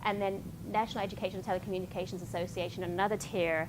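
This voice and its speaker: A woman with a medium pitch talks at a very fast pace, with vocal fry in her voice. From London, England. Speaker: public television station relations specialist. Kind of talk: workshop presentation. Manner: informal, hesitant with many fillers.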